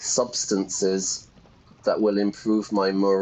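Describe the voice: The voice is plain reading aloud. It simply reads the text.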